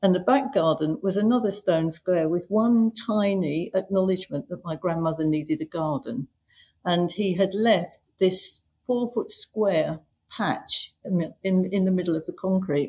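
At a fairly slow pace, a woman speaks with a somewhat breathy voice at a medium pitch. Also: ordinary pitch variation. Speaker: mint collector. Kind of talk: interview.

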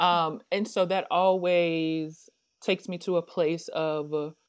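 With a normal speaking voice, a woman talks at a fairly slow pace and a fairly low pitch with fairly even intonation, in a very clean recording over a silent background. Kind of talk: casual interview chat.

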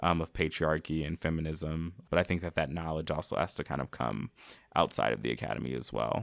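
With an American accent, a man talks at a fairly quick pace with a very deep, low pitch and vocal fry, the sound dry and close with no echo on a very clean recording against a silent background. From US Midwest, Minnesota. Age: 20s. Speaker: higher education professional and podcaster. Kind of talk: podcast interview.

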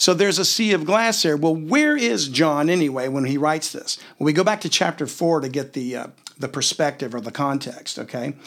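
There is an unremarkable speaking voice here, a man's, fairly high in pitch with lively intonation. He talks at a fairly quick pace with hardly any pauses. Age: 50s. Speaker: podcast host teaching the Bible. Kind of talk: Bible teaching in a casual chat.

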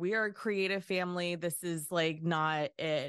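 Fairly even intonation marks this woman's speech. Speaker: artist and podcaster. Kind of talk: casual conversation.

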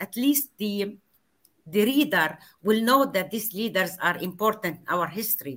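With an Arabic accent, a woman speaks at a fairly high pitch with very wide pitch swings. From Palestine. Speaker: author and professor. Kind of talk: interview. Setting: video call.

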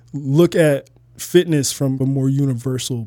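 At a very slow pace, a man with an American accent speaks at a medium pitch in a dark, mellow tone with fairly even intonation. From Toledo, Ohio, US Midwest. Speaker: fitness trainer and model. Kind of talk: podcast interview.

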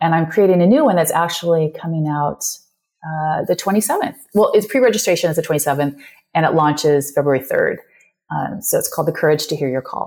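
A woman with an American accent and a fairly low pitch talks at a fairly quick pace with ordinary pitch variation. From California. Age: 50s. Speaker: yoga teacher and life coach. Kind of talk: interview conversation.

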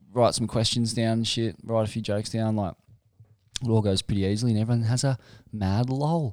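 A man's voice, pitched in the middle of the male range, moves along at an even, moderate speed with normal rises and falls. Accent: Australian. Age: 30s. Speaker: surf journalist. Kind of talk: casual chat.

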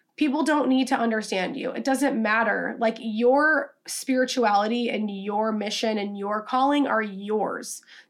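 A woman with a plain, everyday voice and an American accent speaks at a fairly slow pace with hardly any pauses, a fairly high pitch and ordinary pitch variation, on a very clean recording with a silent background. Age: 20s. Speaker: podcast host, social media coach. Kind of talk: solo podcast monologue. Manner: casual, filler-heavy (um, like).

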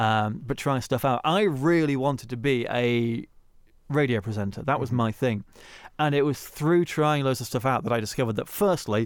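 A man with a plain, everyday voice speaks at a medium pitch and moderate pace, his pitch varying in an ordinary way. His loudness stays very even on a very clean recording with a silent background. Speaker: radio production company owner. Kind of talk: interview.

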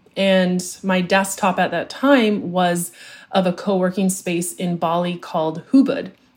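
On a very clean recording with a silent background, a woman with a medium pitch sounds somewhat breathy as she talks at a fairly slow pace. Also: ordinary pitch variation. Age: 30s. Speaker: social media marketing coach. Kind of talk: interview.

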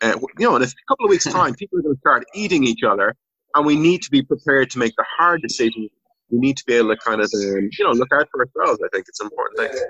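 A man speaks with an Irish accent at a very fast pace. The sound is dry and close, with no echo. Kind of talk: casual chat.

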